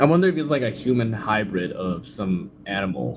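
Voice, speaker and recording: A man with a non-native accent speaks at a moderate pace with lively intonation while music plays in the background. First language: not English. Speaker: livestreamer reacting to videos. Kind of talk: casual livestream reaction commentary. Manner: casual, filler-heavy.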